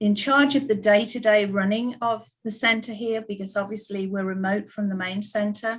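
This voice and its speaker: Here a woman speaks in a British accent at a medium pitch. Her intonation stays fairly even. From United Kingdom. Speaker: ballet school principal. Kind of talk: panel discussion.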